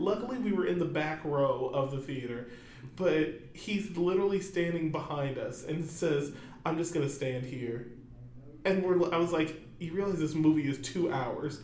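Audible room echo surrounds this man's voice. He speaks at a moderate pace in a fairly high pitch. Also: ordinary pitch variation. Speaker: podcast guest, friend of host. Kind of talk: casual chat. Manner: laughs often.

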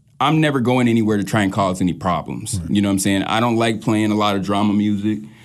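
At a very fast pace, a man with an American accent speaks in a fairly low pitch with ordinary variation. His loudness stays very even, and audible room echo surrounds him. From St. Louis, Missouri; later Wichita, Kansas. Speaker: DJ, rapper and producer. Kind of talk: casual interview.

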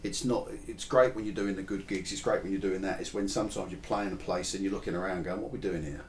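Against noticeable background noise, a man with a fairly low pitch talks at a very fast pace with hardly any pauses, his pitch varying in an ordinary way. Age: 40s. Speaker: musician and podcast host. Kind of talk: casual chat.

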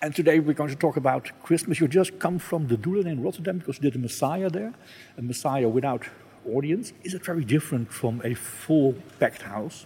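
A man with a Dutch accent talks at a fairly quick pace, his dark, mellow tone somewhat breathy and his intonation lively. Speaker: radio podcast host. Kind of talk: interview.

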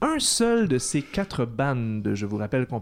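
This man speaks at a very slow pace in a medium pitch, with a Quebec accent. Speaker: podcast host and quiz master. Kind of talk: casual quiz show.

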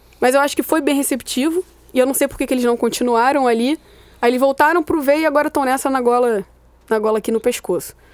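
Her pitch high with ordinary variation, a woman speaks fairly quickly yet pauses long and often, in a dry, close sound with no echo. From Rio de Janeiro, Brazil. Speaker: football fan and social media personality. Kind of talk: casual chat.

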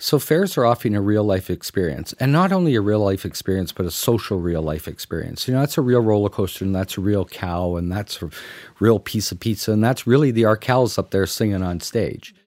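Delivered with an unremarkable speaking voice in a Canadian accent, the talk runs at a fairly quick pace with hardly any pauses, with a dry, close sound with no echo and a very clean recording over a silent background. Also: man, fairly low pitch for a man, lively intonation. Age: 50s. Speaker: fair midway executive. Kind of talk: interview storytelling.

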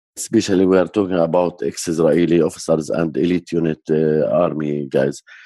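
In an Arabic accent, a man speaks with a very deep, low pitch and a dark, mellow tone, his intonation flat and monotone, the sound dry and close with no echo. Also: quiet background. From Jerusalem area, Palestinian. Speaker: peace activist, organization director. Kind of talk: interview.

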